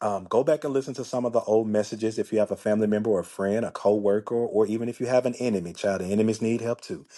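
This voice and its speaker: A man with a Memphis accent talks at a very fast pace in a medium pitch, his tone dark and mellow against a quiet background. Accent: Memphis Southern. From US South, Memphis, Tennessee. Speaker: life coach podcaster. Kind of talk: casual podcast monologue. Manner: animated, conversational.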